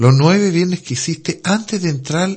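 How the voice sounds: A man speaks slowly at a high pitch with ordinary pitch variation. His tone is slightly mellow.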